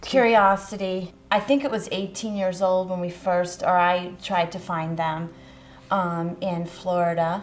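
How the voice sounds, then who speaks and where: A woman with an ordinary speaking voice, medium pitch, fairly even intonation and a fairly slow pace. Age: 30s. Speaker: breast cancer survivor. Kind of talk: interview answer.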